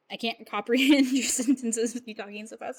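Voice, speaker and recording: A woman talks at a very fast pace. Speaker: streamer. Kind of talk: casual chat. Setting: live stream.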